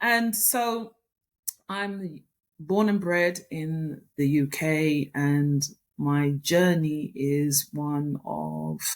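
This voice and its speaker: With a British accent, a woman speaks in a very deep, low pitch. Her pitch varies in an ordinary way. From UK, Jamaican heritage. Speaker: author and business consultant. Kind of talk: interview.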